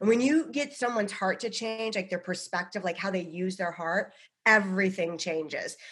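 At a moderate pace, a woman with an American accent speaks at medium pitch with lively intonation in an ordinary speaking voice. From US, Boulder, Colorado. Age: 40s. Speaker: psychic medium and comedian. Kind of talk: casual chat.

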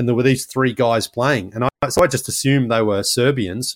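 A man with an Australian accent talks at a very fast pace, recorded very cleanly against a silent background with a dry, close sound and no echo. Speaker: basketball podcaster. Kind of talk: interview, casual storytelling. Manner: animated.

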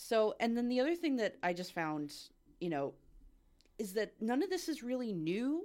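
This woman's fairly high voice moves at a moderate pace through very wide pitch swings and long, frequent pauses, on a very clean recording with a silent background. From Canada, Ottawa. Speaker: customer service worker, podcast guest. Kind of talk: casual chat.

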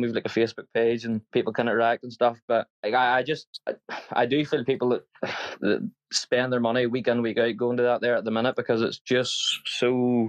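A man with a Northern Irish accent at medium pitch, very fast pace and monotone, flat intonation, in a dry, close sound with no echo. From Northern Ireland. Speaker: football fan caller. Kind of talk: casual chat.

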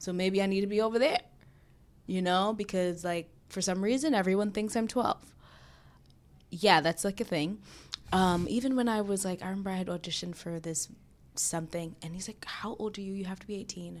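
A woman with a New York accent talks at a fairly quick pace, medium in pitch with ordinary pitch variation. Her loudness swings widely, and she takes long, frequent pauses. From New York City. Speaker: filmmaker and actress. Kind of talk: casual chat. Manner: casual, filler-heavy.

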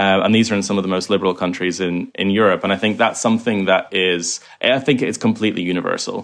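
Talking very fast with hardly any pauses, a man uses a fairly low voice with ordinary pitch variation. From Ireland, Kilkenny. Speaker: former extremist video maker, filmmaker. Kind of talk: interview.

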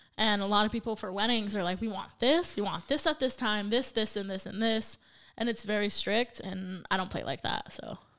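At a fairly quick pace, a woman speaks in a plain, everyday voice with a fairly high pitch and ordinary pitch variation. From Santa Paula, California. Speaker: DJ and former teacher. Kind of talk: casual chat.

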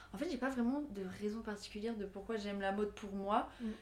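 A woman's fairly high voice with fairly even intonation, over noticeable background noise. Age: 20s. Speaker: fashion student. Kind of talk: casual chat.

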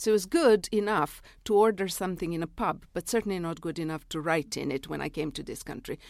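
On a very clean recording with a silent background, a woman with a Serbian accent speaks at a very fast pace with hardly any pauses, at medium pitch and with ordinary pitch variation. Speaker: novelist and literary critic. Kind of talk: interview. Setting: studio.

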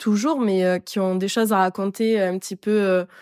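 On a very clean recording with a silent background, a woman speaks with a medium pitch and fairly even intonation, the sound dry and close with no echo. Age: 20s. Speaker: podcast host. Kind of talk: solo podcast monologue. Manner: casual, hesitant with many fillers.

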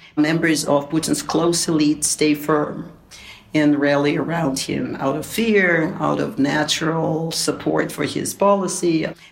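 Noticeable background noise surrounds a woman speaking at a fairly slow pace. Her pitch is very deep and low, and her intonation is fairly even. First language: Russian. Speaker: academic and political analyst. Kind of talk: interview.

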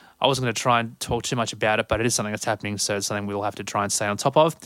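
A man with an Australian accent, on a very clean recording with a silent background. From Sydney, Australia. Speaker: podcast host. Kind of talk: podcast intro monologue.

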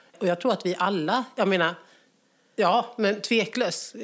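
A woman with a normal speaking voice. Her pitch varies in an ordinary way, at a moderate pace. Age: 40s. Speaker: guest. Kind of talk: casual chat.

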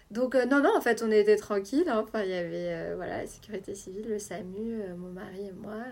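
Her voice is an unremarkable speaking voice, as the woman talks at medium pitch with ordinary pitch variation. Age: 20s. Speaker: journalist and mother sharing birth story. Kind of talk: testimony.

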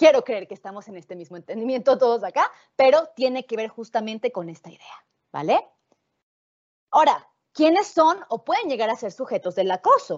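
With very wide pitch swings, a woman talks in a high voice. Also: moderate pace. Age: 20s. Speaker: philosophy lecturer. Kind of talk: lecture. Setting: video call.

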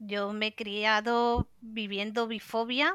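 In a dry, close recording with no echo, a woman speaks at a fairly high pitch with fairly even intonation and a bright, sharp tone. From Spain, Cantabria (Santander). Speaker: LGBT activist. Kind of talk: panel discussion.

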